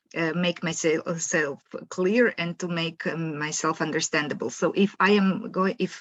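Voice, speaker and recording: A woman speaks with a Croatian accent. Her fairly low voice keeps a moderate pace. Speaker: professor. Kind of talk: lecture. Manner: halting.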